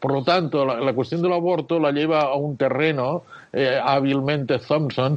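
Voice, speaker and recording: His pitch is fairly high for a man. This man keeps a moderate pace, and his pitch shifts in an ordinary way. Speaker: philosophy of law professor. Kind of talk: interview. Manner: halting.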